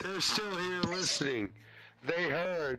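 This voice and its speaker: Amid a fair amount of surrounding noise, a man's words come out very slowly. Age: 40s. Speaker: VR chat user. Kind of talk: casual chat. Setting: online VR chat.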